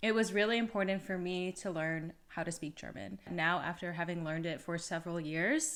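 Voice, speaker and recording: An ordinary speaking voice with an American accent at a fairly quick pace, on a very clean recording with a silent background. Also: woman. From United States. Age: 30s. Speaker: vlogger. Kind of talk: casual vlog talk to camera.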